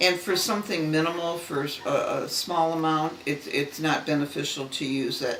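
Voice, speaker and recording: In an American accent, a woman with fairly low pitch speaks at a fairly slow pace with fairly even intonation, amid audible room echo and noticeable background noise. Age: 70s. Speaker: retired secretary. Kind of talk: interview.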